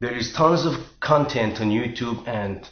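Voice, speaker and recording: In a non-native accent, a man speaks at a fairly slow pace. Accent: foreign. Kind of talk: casual talk to camera. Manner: hesitant, repetitive.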